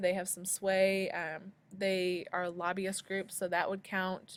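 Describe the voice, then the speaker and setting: On a very clean recording with a silent background, a woman talks at a medium pitch. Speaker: high school sociology teacher. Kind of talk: screencast tutorial. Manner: fast; hesitant with many ums.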